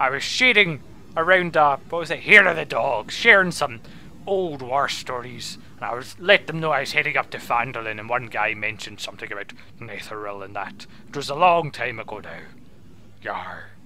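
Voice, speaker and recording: A gruff put-on character voice from a man at medium pitch and moderate pace, with clear background noise. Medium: actual play. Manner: gruff, rambling, peppered with pirate exclamations.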